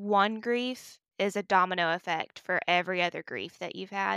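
A woman with a Southern US accent speaks at medium pitch and a moderate pace, her bright, sharp tone showing ordinary pitch variation. The sound is dry and close with no echo, on a very clean recording with a silent background. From US South. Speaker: podcast co-host. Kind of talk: casual chat.

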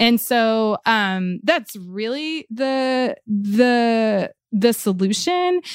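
In an American accent, a woman with a fairly high pitch speaks at a very slow pace with hardly any pauses, on a very clean recording with a silent background. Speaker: reporter and podcast host. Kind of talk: interview.

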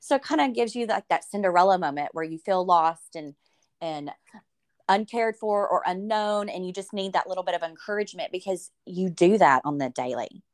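A woman talks fairly quickly at a medium pitch with lively intonation. The sound is dry and close, with no echo. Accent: Southern US. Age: 40s. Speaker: podcast host. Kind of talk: interview. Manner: animated.

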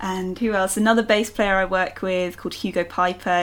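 Speaking at a moderate pace, a woman with a London accent uses a medium pitch. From London, England. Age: 20s. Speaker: singer-songwriter. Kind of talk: casual interview. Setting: remote call from home.

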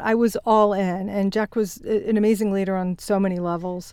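A woman talks at a moderate pace in a plain, everyday voice. Her pitch is medium. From Virginia, US South (Shenandoah Valley). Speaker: business executive and author. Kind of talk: interview.

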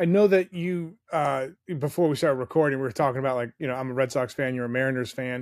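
Very clean recording of a man with a plain, everyday voice, fairly high in pitch, at a fairly quick pace, against a silent background. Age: 40s. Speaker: podcast host and former radio host. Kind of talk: casual chat.

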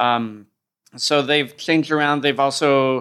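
In an American accent, a man speaks with a bright, sharp tone and monotone, flat intonation. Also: very clean recording, silent background. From US, upstate New York and Oakland. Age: 30s. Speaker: combat sports commentator and journalist. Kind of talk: casual chat.

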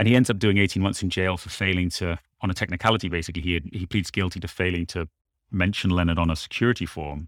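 A man with very deep, low pitch and fairly even intonation at a very fast pace, on a very clean recording with a silent background. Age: 40s. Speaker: journalist and podcast creator. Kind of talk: interview.

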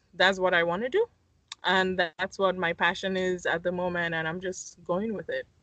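Her voice at medium pitch carries a bright, sharp tone as this woman speaks at a moderate pace with ordinary pitch variation, in a dry, close sound with no echo. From Nigeria, Lagos. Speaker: architect and design podcaster. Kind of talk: casual chat.

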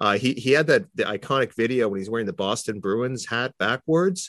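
An unremarkable speaking voice with a Canadian accent moves at a moderate pace with lively intonation. The sound is dry and close, with no echo. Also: man. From Toronto, Canada. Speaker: sports writer. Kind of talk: casual interview chat.

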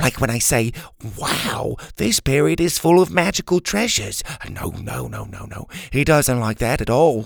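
This is a put-on character voice with vocal fry. The intonation is lively and the pace is fairly slow. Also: man, medium pitch for a man.

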